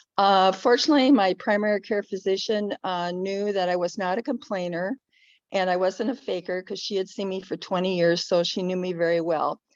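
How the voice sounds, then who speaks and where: Against a quiet background, a woman uses a normal speaking voice at a fairly quick pace, with ordinary pitch variation and a dry, close sound with no echo. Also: medium pitch for a woman. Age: 60s. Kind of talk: panel presentation, personal testimony.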